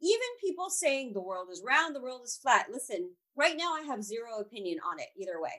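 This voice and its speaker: Speaking at a fairly quick pace, a woman with an American accent uses a high, bright, sharp voice whose pitch swings very widely. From California. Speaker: astrologer. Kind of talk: interview.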